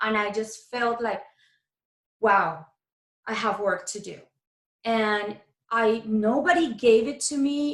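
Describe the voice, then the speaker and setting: A woman with a Spanish accent speaks in a fairly high pitch with ordinary pitch variation. Her pace is very slow, with long, frequent pauses. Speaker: keto coach. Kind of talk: interview conversation. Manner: animated.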